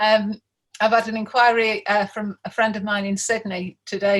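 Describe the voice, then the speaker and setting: A somewhat breathy woman's voice at a fairly high pitch and a moderate pace. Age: 60s. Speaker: events business owner. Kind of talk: interview. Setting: video call from home attic.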